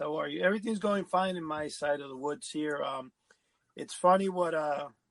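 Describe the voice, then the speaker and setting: A man's normal speaking voice, fairly high in pitch, with fairly even intonation, a moderate pace and a dry, close sound with no echo. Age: 50s. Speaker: podcast co-host. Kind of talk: casual podcast chat.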